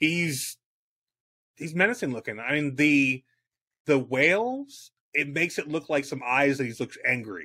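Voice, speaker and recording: Recorded very cleanly with a silent background, a man with an American accent speaks at a moderate pace in a bright, sharp tone, with a fairly high pitch, ordinary pitch variation and long, frequent pauses. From US South, Miami, Florida. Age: 40s. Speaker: sports podcast co-host, army veteran. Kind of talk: casual chat.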